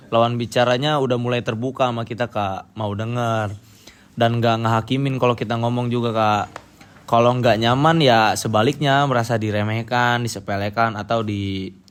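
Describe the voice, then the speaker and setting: Speaking with a Medan accent, a man keeps a moderate pace and fairly even intonation. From North Sumatra, Medan area, Karo. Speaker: university student, interviewee. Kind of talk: interview. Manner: firm, blunt.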